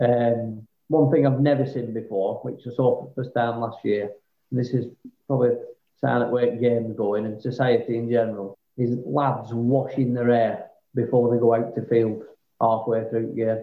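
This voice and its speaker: In a Lancashire accent, a man speaks at a medium pitch and moderate pace with monotone, flat intonation. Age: 30s. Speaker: amateur cricketer. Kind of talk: casual chat.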